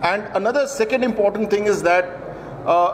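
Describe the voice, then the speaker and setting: A man with a high pitch talks at a very fast pace. Light background noise is present. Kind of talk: formal speech. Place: hall. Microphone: podium.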